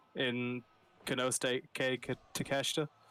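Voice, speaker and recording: A man is speaking. Music plays in the background. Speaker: wrestling commentator. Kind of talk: live commentary. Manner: halting.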